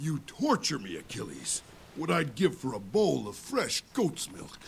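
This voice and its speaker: A man puts on a character voice at a fairly high pitch. He speaks at a moderate pace. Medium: video game. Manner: playful, good-humoured.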